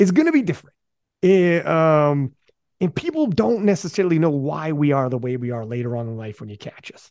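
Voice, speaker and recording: A man with an ordinary speaking voice talks at a fairly quick pace and fairly high pitch, with lively intonation and big swings in loudness. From Canada. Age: 40s. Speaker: podcast host. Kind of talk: casual chat.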